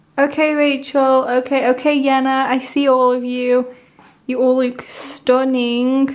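At a fairly slow pace, a woman speaks with a high pitch and very even loudness. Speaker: K-pop fan unboxing vlogger. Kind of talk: unboxing video, casual excited reaction. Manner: animated, excitable. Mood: excited, gushing. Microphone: phone near.

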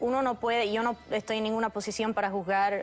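Light background noise sits behind the speaker. A woman talks at a fairly quick pace. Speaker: TV guest. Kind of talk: interview answer. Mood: earnest, concerned. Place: studio.

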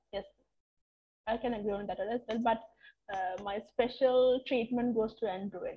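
A woman speaks at a moderate pace in a fairly high pitch, somewhat breathy, with fairly even intonation. Long, frequent pauses break up her speech. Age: 20s. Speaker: English teacher. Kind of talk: online lecture.

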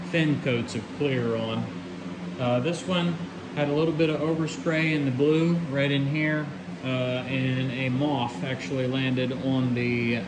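There is noticeable background noise. A man talks very slowly over it. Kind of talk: casual vlog walkthrough. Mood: pleased, relaxed. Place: garage. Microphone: phone near.

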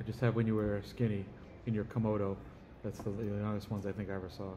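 Over noticeable background noise, a man speaks very fast at a fairly low pitch with a dark, mellow tone, leaving long, frequent pauses. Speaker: family member interviewing elderly father. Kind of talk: casual family chat. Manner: animated. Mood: reminiscing, calm. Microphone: phone near.

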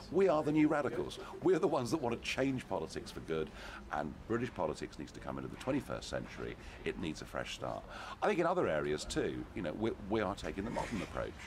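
A man rattles off his words at a very fast pace while noticeable background noise plays underneath. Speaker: interviewee. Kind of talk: interview answer. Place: street. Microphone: handheld.

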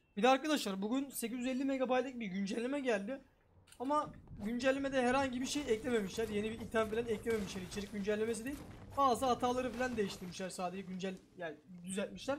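Extremely high-pitched for a man, his voice sounds animated and moves very fast with ordinary pitch variation. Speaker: gaming streamer. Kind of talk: gameplay commentary. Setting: small room.

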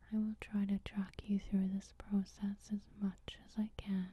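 Soft-spoken delivery with a dry sound and no echo. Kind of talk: tutorial. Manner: soft-spoken ASMR narration. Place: home room. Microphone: camera far.

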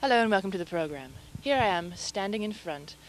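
Fairly low-pitched woman at a very fast pace, lively intonation, dry sound with no echo, light background noise. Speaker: mock news reporter. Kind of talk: parody news report.

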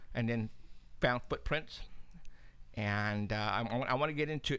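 The voice belongs to a man. Its pitch shifts in ordinary amounts. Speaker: paranormal radio show host and investigator. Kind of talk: live talk show, casual chat. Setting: studio. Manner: animated, laughs often. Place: studio. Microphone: studio mic.

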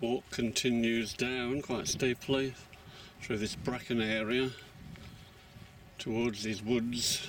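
A man speaks at a very slow pace with ordinary pitch variation, in a dry sound with no echo and light background noise. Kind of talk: walking commentary. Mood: calm, appreciative. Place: open country. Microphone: phone near.

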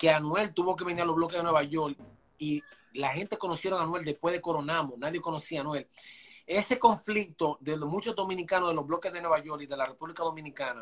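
Very fast speech from a man, set against a quiet background. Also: ordinary pitch variation. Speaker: guest. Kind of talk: interview answer. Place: home room. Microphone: video call.

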